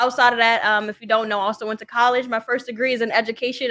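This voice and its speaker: Talking at a very fast pace, a woman uses fairly even intonation, and her fairly high voice has a bright, sharp tone. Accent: Brooklyn. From Brooklyn, New York. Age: 20s. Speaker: entrepreneur and social worker. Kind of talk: podcast interview.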